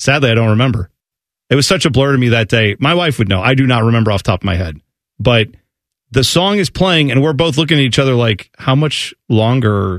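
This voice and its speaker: A man with an ordinary speaking voice speaks at medium pitch with lively intonation and very even loudness. The sound is dry and close with no echo, against a quiet background. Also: fairly quick pace. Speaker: sports radio co-host. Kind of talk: casual chat. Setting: studio.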